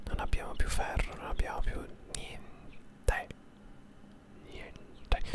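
A man's whisper at a very slow pace. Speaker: ASMR gaming streamer. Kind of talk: gameplay commentary. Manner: whispered. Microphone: studio mic.

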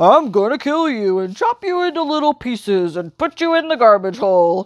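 A put-on character voice with a fairly high pitch swings very widely in pitch. It moves at a moderate pace over a quiet background. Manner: menacing.

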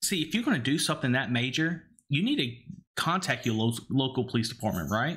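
A man with an Alabama accent speaks at a medium pitch and a fairly quick pace, his intonation lively and his loudness very even. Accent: Alabama Southern. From Alabama, Cajun family from New Orleans. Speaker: gaming podcast co-host. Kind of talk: casual chat. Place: home room. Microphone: studio mic.

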